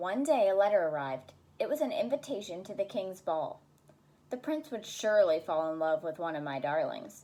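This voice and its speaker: A woman at a fairly quick pace, medium pitch and very wide pitch swings. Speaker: special education intervention specialist. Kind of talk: children's story reading.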